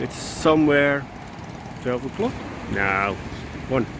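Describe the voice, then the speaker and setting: Against noticeable background noise, a man with a Dutch accent speaks at a fairly slow pace with very wide pitch swings. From Netherlands. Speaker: vlogger. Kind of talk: casual vlog monologue. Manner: halting.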